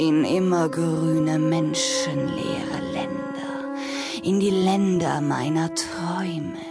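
Over clear background music, a put-on character voice with vocal fry moves at a slow pace and fairly even intonation. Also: woman, low pitch for a woman.

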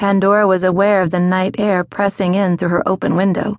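Using a normal speaking voice, a woman talks at a medium pitch and a moderate pace. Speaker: audiobook narrator. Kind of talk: dramatic audiobook narration of historical romance. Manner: hushed, suspenseful, measured.

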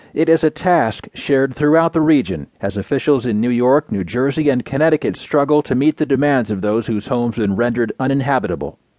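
Over a quiet background, a man uses an ordinary speaking voice with a fairly high pitch, lively intonation and a fairly quick pace, recorded dry and close with no echo. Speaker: news reader. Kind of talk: scripted newspaper digest read aloud, headline rundown then full article. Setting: studio. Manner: measured, even broadcast delivery; crisp headline-style phrasing in the rundown.

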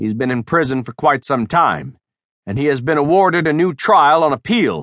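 In an ordinary speaking voice, a man with a fairly high pitch talks at a moderate pace with lively intonation, recorded dry and close with no echo against a quiet background. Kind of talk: audiobook narration, reading a novel aloud. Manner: steady narrative pace, shifting into gruff tough-guy dialogue for biker characters.

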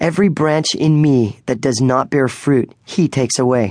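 Over a quiet background, a man with a normal speaking voice talks fairly slowly at a medium pitch with ordinary pitch variation. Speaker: audiobook narrator. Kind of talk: dramatic audiobook narration, second-person storytelling. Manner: hushed, suspenseful, slow pacing that builds atmosphere.

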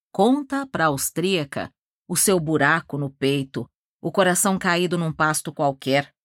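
A woman's very deep, low-pitched, dramatic voice with lively intonation, in a very clean recording with a silent background and a dry, close sound with no echo. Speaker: audiobook narrator. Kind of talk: audiobook narration of a novel, dramatic. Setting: studio. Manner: dramatic, measured, literary storytelling.

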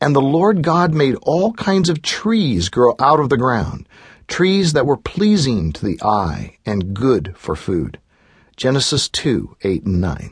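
Here a man speaks at a very slow pace in a calm tone with a medium pitch. His voice is somewhat breathy and shows very wide pitch swings. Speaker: audiobook narrator and author. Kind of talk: audiobook reading of devotional text. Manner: measured, calm, reverent; steady, even pacing with pauses between scripture and commentary.

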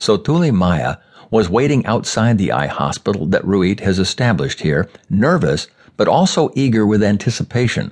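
With vocal fry and a fairly low pitch, a man talks at a moderate pace, his pitch swinging very widely while his loudness stays very even. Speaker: audiobook narrator. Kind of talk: audiobook narration of a newspaper column. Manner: formal, measured, even-paced news-reading delivery.

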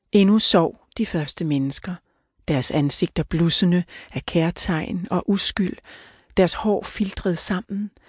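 Against a quiet background, a somewhat breathy woman talks very slowly with ordinary pitch variation, the sound dry and close with no echo. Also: medium pitch for a woman. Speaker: audiobook narrator. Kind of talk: audiobook narration, reading literary fiction aloud. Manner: solemn, measured, grave storytelling pace; formal, mythic and somber tone.

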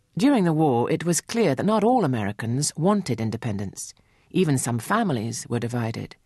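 Someone with a British accent talks at a fairly quick pace against a quiet background. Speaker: narrator. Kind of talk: scripted narration.

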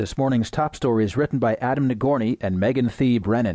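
A man speaks at a medium pitch with a dark, mellow tone. His intonation is lively. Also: quiet background. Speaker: audiobook news narrator. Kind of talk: scripted news reading of newspaper front-page stories. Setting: studio recording. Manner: measured, even newsreader cadence, steady formal delivery; formal, neutral and impersonal, reading headlines crisply.

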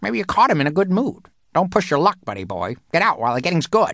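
A man's put-on character voice, fairly high-pitched, at a very fast pace with very wide pitch swings. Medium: read story. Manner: dry, brusque.

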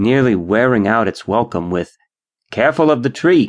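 A man at a fairly slow pace, medium in pitch, with a dry, close sound free of echo and a quiet background. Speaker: audiobook narrator. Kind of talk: dramatic literary narration, reading aloud a nostalgic first-person memoir-style story. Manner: wistful, rich in imagery, slightly mock-grand.

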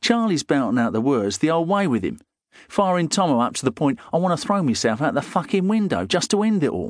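Against a quiet background, a man with a weary tone speaks fairly quickly at a fairly high pitch, with very wide pitch swings. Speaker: audiobook narrator. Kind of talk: dramatic first-person audiobook narration of a gritty crime novel, with dialogue. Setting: studio.

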